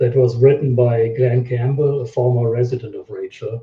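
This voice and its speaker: A somewhat breathy man talks at a moderate pace. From Germany. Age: 60s. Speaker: website owner and local resident. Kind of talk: interview.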